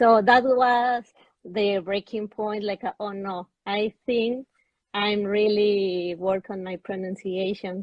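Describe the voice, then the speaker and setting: In a Spanish accent, a woman at medium pitch talks very slowly with fairly even intonation. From Spanish-speaking country. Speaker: English student. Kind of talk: testimony. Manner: halting.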